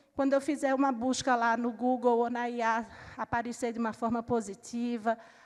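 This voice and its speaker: With a Recife accent, a woman talks at a fairly quick pace. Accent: Recife (northeastern Brazilian). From Brazil, Recife (Pernambuco). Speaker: panel moderator, book organizer. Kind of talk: panel discussion moderation.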